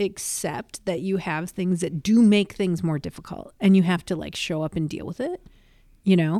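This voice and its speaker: A woman's dark, mellow tone at a moderate pace, in a very clean recording with a silent background. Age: middle-aged. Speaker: comedian. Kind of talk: casual chat.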